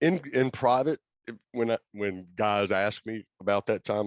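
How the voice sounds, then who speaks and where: This is a normal speaking voice with an American accent and ordinary pitch variation. The background is quiet, and the sound is dry and close with no echo. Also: man. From US South, Gulfport Mississippi. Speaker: former concert roadie and drum tech. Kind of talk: casual chat.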